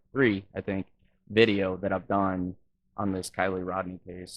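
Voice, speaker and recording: A man with an American accent talks at a fairly quick pace and a fairly low pitch. He has an ordinary speaking voice. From Wisconsin. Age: 30s. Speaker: YouTube reaction vlogger. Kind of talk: reaction commentary.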